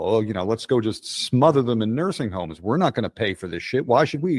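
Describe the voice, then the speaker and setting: A man with an American accent talks at a fairly quick pace, his pitch swinging very widely. The sound is dry and close, with no echo. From Philadelphia area, Pennsylvania. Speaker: writer. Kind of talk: casual interview. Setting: video call.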